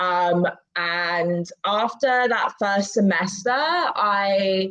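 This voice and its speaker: A woman with an English accent, medium pitch and fairly even intonation. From England. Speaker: immigration paralegal. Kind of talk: casual chat.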